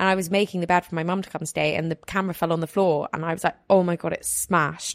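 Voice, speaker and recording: A woman speaks very fast, with hardly any pauses, at a fairly low pitch and in a monotone, flat intonation. The sound is dry and close with no echo. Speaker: podcast host. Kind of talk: casual chat.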